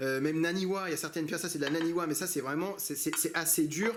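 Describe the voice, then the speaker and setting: Speaking at a very fast pace, a man with a high voice keeps a fairly even intonation amid audible room echo. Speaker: knife sharpening channel host. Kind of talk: tutorial. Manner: hesitant, many fillers.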